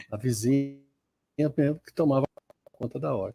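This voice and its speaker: A man with a fairly high pitch and a dark, mellow, somewhat breathy tone, at a moderate pace. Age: 70s. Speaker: spiritist center host. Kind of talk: casual discussion. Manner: halting.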